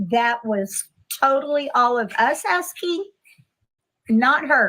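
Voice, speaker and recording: A raised, projected voice with a bright, sharp tone speaks at a very slow pace in a Texan accent. Its pitch swings very widely. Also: woman, high pitch for a woman. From Texas. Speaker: live stream participant. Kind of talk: casual chat.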